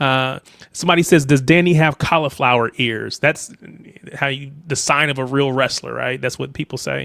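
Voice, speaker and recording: At a moderate pace, a man with an American accent and a bright, sharp tone speaks at medium pitch in a dry, close sound with no echo. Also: fairly even intonation. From United States. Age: 30s. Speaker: football livestream host. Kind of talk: casual chat.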